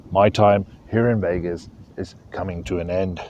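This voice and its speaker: In a South African accent, a man speaks at a fairly low pitch. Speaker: fishing YouTuber. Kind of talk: casual vlog talk to camera. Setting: outdoors by a lake, stormy weather coming.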